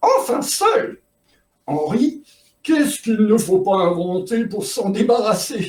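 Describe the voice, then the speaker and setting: In a put-on character voice, a man speaks at a high pitch and a fairly slow pace, with lively intonation and long, frequent pauses. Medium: read story. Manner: theatrical, gushing.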